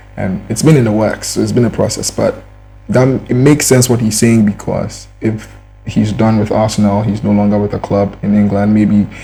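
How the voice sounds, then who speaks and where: A man talks at a moderate pace as music plays behind him. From Ghana. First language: not English. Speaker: YouTube commentator. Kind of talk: reaction commentary. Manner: casual, halting with repetitions.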